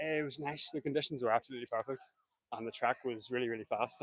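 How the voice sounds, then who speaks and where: In a Northern Irish accent, a man talks at a very fast pace, the sound dry and close with no echo. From Northern Ireland. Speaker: runner, race winner. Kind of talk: post-race interview.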